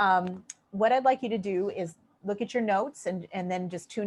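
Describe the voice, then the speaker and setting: A woman with a plain, everyday voice, medium pitch and ordinary pitch variation, against a quiet background. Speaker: crystal healing teacher. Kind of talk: webinar lecture. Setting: online webinar.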